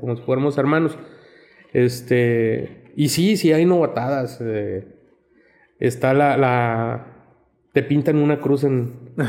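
A man with a dark, mellow tone and medium pitch speaks at a very slow pace, with ordinary pitch variation and long, frequent pauses. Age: 50s. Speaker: paramedic. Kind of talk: casual chat.

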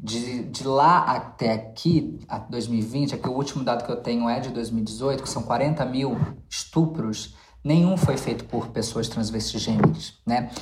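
A woman's very deep, low voice at a fairly slow pace, with audible room echo and noticeable background noise. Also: ordinary pitch variation. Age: 30s. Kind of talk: casual chat.

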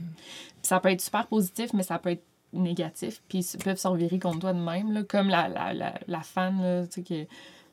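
Moderate pace, fairly even intonation, and a medium pitch from a woman. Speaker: YouTuber and author. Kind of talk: casual chat.

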